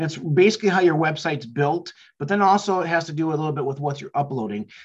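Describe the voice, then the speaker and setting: A man's fairly high, somewhat breathy voice shows ordinary pitch variation. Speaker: marketing entrepreneur. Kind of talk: tutorial. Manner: fast; hesitant, filler words.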